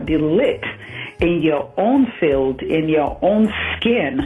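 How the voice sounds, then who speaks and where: A woman talks at a very slow pace with a fairly low pitch. Her intonation is lively, with music playing in the background. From Nigeria. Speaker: entrepreneur. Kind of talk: radio interview.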